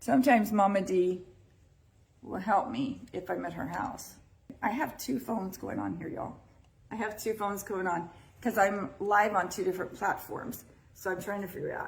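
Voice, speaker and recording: In an American accent, a woman speaks at a moderate pace with an animated tone. Her medium-pitched voice shows ordinary pitch variation, and room echo is audible. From Texas. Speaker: podcast host. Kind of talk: live-streamed casual podcast talk. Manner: loud.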